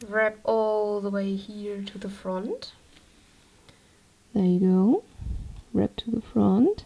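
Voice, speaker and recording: A woman speaks with a German accent. Her pace is very slow. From Germany. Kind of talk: tutorial. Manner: casual. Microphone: microphone placed poorly, moving-around sounds.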